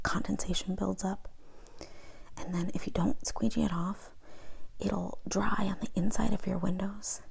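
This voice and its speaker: A woman whispers at a moderate pace. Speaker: ASMR creator. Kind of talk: ASMR haul video, casual talk to camera. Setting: lo-fi home recording. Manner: soft-spoken.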